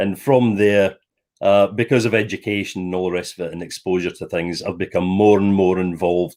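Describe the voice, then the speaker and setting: Here a man speaks with a Scottish accent in a fairly low voice. The recording is very clean, with a silent background. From Scotland, Stirling. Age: 60s. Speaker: former air force officer, property developer. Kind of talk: interview. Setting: live stream.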